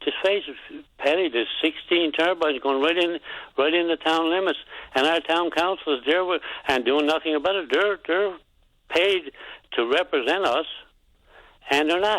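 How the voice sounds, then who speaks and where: With a Newfoundland accent, a man speaks at a high pitch and a moderate pace, with ordinary pitch variation and long, frequent pauses. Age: 70s. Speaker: caller. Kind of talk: call-in radio complaint. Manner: halting.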